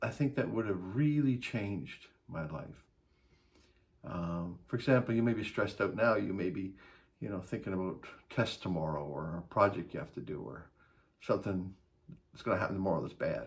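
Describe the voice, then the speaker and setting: A man with a very deep, low pitch talks at a moderate pace, his voice somewhat breathy and his intonation lively, with big swings in loudness and long, frequent pauses. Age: 60s. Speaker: life advice vlogger. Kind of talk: casual talk to camera.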